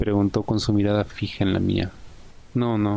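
In a natural voice, someone reads a text aloud.

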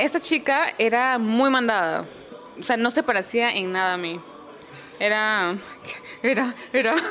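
Over music in the background, a woman with a Lima accent speaks in a fairly high voice with lively intonation. She goes at a fairly slow pace with long, frequent pauses. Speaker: voice acting student. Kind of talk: casual chat.

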